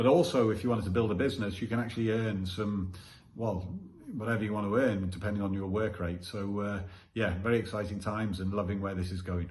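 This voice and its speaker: This man talks very fast in a somewhat breathy, fairly low voice with fairly even intonation. Audible room echo surrounds the recording. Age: 50s. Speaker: business testimonial giver, ex-military. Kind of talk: testimony.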